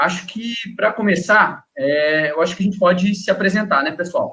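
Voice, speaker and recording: At a moderate pace, a man speaks in a high-pitched voice with a bright, sharp tone. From Minas Gerais, Brazil. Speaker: wildlife researcher. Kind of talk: casual chat.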